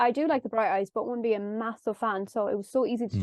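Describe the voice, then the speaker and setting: The speech comes at a very fast pace in an Irish accent. Pitch varies in an ordinary way. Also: woman. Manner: gets extremely high-pitched when excited.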